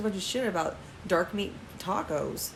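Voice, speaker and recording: A woman in an American accent speaks at medium pitch with lively intonation. Noticeable background noise is present. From Texas. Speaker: podcast co-host. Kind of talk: casual chat.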